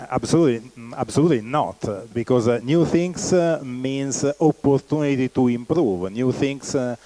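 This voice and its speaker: A man speaks with an Italian accent at a medium pitch. The sound is dry and close, with no echo. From Italy. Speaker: company founder and executive. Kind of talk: keynote presentation. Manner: halting, many fillers.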